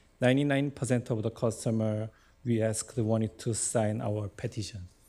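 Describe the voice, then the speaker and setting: A man with a non-native accent speaks at a moderate pace in a dark, mellow tone with fairly even intonation. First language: not English. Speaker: local business owner, delegate.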